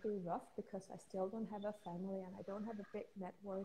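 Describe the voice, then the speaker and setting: Speaking at medium pitch, a woman has a dark, mellow tone, a somewhat breathy quality and monotone, flat intonation. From Denmark. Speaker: intuitive healer and coach. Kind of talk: interview. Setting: video call, instagram live.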